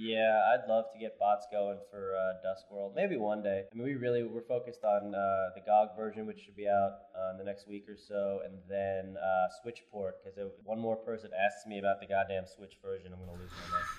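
A man speaks in an American accent at a moderate pace with monotone, flat intonation. Noticeable background noise runs underneath. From US Northeast (New York). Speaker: game studio co-founder. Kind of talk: casual chat.

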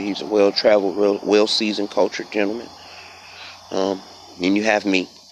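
Very fast, flat, monotone speech from a man amid noticeable background noise. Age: 20s. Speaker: podcast host. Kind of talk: casual monologue. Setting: outdoors. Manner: unedited, many fillers.

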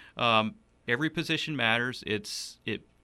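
The speaker has a Southern US accent and a bright, sharp tone, with ordinary pitch variation at a moderate pace. The recording is very clean, with a silent background. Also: man. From South Carolina (Upstate, rural Donalds). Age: 30s. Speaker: state legislator. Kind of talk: interview. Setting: studio.

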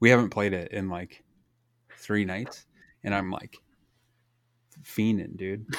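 On a very clean recording with a silent background, a man speaks very slowly in a fairly low, monotone, flat voice, with big swings in loudness and long, frequent pauses. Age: 40s. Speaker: gaming podcast host. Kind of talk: casual chat.

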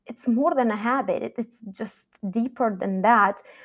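A woman speaks with a Romanian accent and ordinary pitch variation. The recording is very clean and the background silent. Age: 40s. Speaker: podcast host and life coach. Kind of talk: solo podcast monologue.

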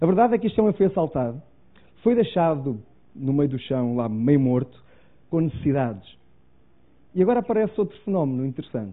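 Talking at a fairly quick pace with long, frequent pauses, a man with a European Portuguese accent swings his pitch very widely. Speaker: preacher. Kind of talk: sermon. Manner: halting.

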